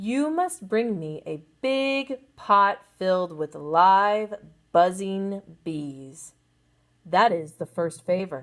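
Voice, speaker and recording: Growling and gruff, a put-on character voice that sounds female drags along at a very slow pace in a middle pitch. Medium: read story. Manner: gruff, growling.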